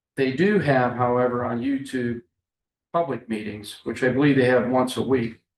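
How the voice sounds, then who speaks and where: With a normal speaking voice, a man talks at a moderate pace and medium pitch, with ordinary pitch variation. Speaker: county commissioner. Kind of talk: public meeting discussion. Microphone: muffled on meeting recording.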